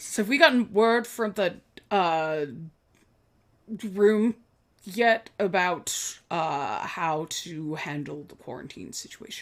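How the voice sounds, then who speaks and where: Fairly slow and broken by long, frequent pauses, a female-sounding, put-on character voice sits at a middle pitch. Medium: actual play. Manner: flustered, officious.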